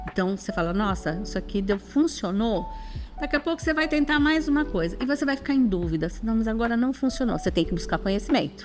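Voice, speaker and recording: The speaker talks at a very fast pace with very wide pitch swings and very even loudness. Music plays in the background. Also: woman, fairly high pitch for a woman. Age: 60s. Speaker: psychologist and educator. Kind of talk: interview.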